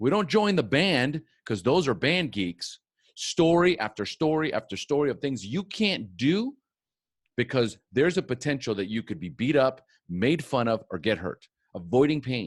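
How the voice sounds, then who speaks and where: Against a quiet background, a man at medium pitch talks in an energetic, animated tone at a moderate pace, with vocal fry and very wide pitch swings. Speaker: podcast host and recovery speaker. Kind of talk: personal testimony talk. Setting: recorded conference talk.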